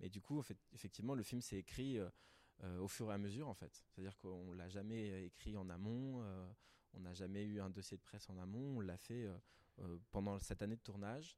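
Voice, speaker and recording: At a moderate pace, a man with a fairly low pitch and ordinary pitch variation talks in a normal speaking voice. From Paris, with teen years in Peru. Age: 20s. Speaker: teacher and documentary filmmaker. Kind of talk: casual interview. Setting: recorded at a culture venue.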